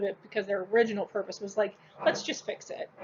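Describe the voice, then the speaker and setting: Through noticeable background noise, a woman speaks at a fairly quick pace and medium pitch with fairly even intonation. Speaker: school teacher. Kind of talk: recorded lecture. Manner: casual, filler-heavy.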